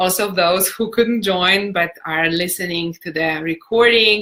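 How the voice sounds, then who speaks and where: A speaker with a non-native accent talks in a bright, sharp tone with ordinary pitch variation. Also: woman. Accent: foreign, non-native English. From Europe, non-English-speaking country. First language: not English. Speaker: personal development coach. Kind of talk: live-stream talk and Q&A. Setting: Facebook live video. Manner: warm, animated.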